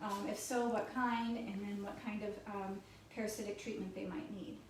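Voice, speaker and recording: A woman speaks at a moderate pace in a fairly high voice with fairly even intonation, with audible room echo and noticeable background noise. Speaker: vet tech. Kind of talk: informal educational talk.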